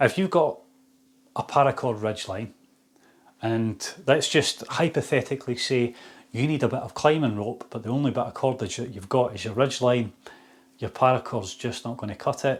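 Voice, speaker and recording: Speaking at a moderate pace, a man uses a medium pitch with ordinary pitch variation and big swings in loudness. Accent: Scottish. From Scotland, Fife. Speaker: outdoor shop owner. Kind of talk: product demonstration. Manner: casual.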